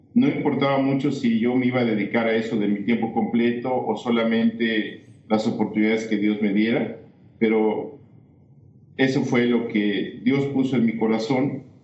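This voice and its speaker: With audible room echo, a man speaks at a medium pitch and a moderate pace in a monotone, flat way. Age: 60s. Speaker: missionary. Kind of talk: testimony.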